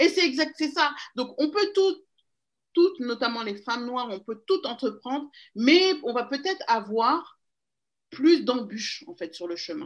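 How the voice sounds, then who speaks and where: At a moderate pace, a woman with a high pitch makes very wide pitch swings against a quiet background. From Paris region, France. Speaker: magazine founder and DJ. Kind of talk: interview. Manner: hesitant, many fillers.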